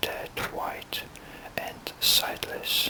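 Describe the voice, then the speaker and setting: The words are whispered very slowly, with noticeable noise in the background. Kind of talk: book reading.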